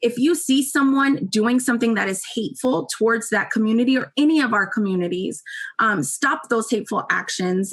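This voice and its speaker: Her pitch fairly high and her intonation lively, a woman with a plain, everyday voice speaks at a moderate pace. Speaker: university staff presenter. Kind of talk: presentation.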